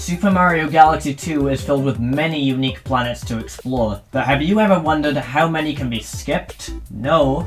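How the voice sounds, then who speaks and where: Music plays in the background as a man with a fairly high pitch speaks. His pace is moderate, with ordinary pitch variation. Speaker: gaming video commentator. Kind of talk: scripted gaming commentary. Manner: enthusiastic.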